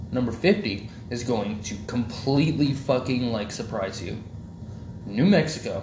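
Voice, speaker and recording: Somewhat breathy and at medium pitch, a man speaks with lively intonation and big swings in loudness. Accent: American. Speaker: podcast host. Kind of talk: casual banter podcast chat. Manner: profane, joking.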